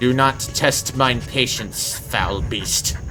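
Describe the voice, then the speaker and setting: Over clear music in the background, a man does a put-on character voice at a medium pitch and a very slow pace. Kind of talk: archaic, formal. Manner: stern, threatening.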